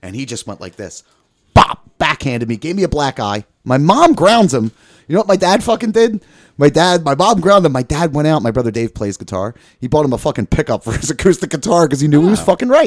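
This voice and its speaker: Speech comes at a very fast pace with vocal fry, very wide pitch swings and big swings in loudness. The recording is very clean, with a silent background. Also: man, fairly high pitch for a man. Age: 40s. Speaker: podcast guest, author. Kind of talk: casual chat.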